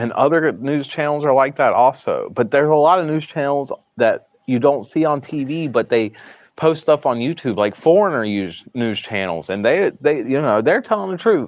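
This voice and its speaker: This man talks with a strong Southern US accent and fairly high pitch. His pace is moderate and his intonation lively. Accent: Southern US, thick. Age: 30s. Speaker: live streamer. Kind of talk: casual live stream chat. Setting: hospital, streaming from phone. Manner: halting, repeats words.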